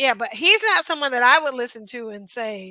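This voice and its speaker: A woman speaks in a bright, sharp tone at a high pitch. Her pace is moderate. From United States. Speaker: reaction video host. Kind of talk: casual reaction commentary. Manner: hesitant, with fillers.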